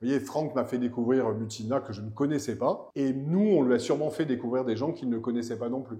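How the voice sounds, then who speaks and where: A man with a medium-pitched voice talks at a fairly quick clip, with ordinary pitch variation and hardly any pauses. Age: 60s. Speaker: director of a cultural venue and festival. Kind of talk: interview. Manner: halting, with many repetitions and fillers.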